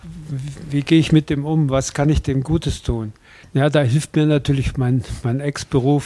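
With a dark, mellow tone, a man speaks in a fairly high pitch and a monotone, flat intonation. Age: 80s+. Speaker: hospice volunteer, retired journalist. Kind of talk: interview. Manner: hesitant, many fillers.

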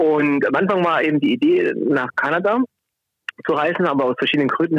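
This man's voice sits fairly high in pitch, with ordinary pitch variation. He talks at a very fast pace. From Swabia, southwest Germany. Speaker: climate protection worker. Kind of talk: phone interview. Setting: phone call.

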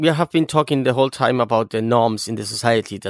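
A man with a Cuban accent at medium pitch, ordinary pitch variation and a fairly quick pace, in a dry, close recording with no echo. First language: Spanish. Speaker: podcast host. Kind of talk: interview.

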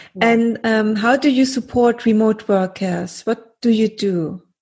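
A woman's somewhat breathy voice, fairly high in pitch, with fairly even intonation and a German accent, against a quiet background. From Germany. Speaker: podcast host. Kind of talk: interview.

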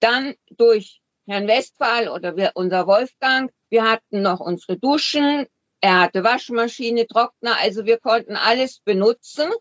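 A woman with an unremarkable speaking voice speaks at a fairly slow pace in a fairly high pitch with ordinary pitch variation. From Switzerland. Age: 60s. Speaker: retiree living full-time in a motorhome. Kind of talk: interview.

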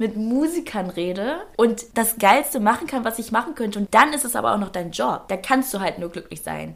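A woman talks at a moderate pace. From northern Germany, Schleswig-Holstein. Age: 20s. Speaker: presenter and influencer. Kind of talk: interview. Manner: talkative.

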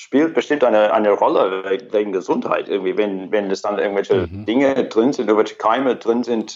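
A man talks at a fairly quick pace with hardly any pauses. His pitch sits in the middle range and varies in an ordinary way. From Australia. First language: English (speaking German). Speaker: orchestra horn player. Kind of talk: casual chat. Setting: Skype call. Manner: halting, repeats words.

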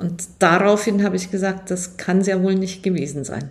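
The voice belongs to a woman. It comes across as somewhat breathy. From Germany. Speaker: aerospace engineer. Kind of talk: interview.

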